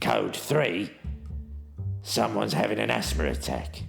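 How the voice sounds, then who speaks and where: Over clear background music, a man talks at a moderate pace. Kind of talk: mock action-thriller narration. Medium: audio drama. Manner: deadpan, self-important.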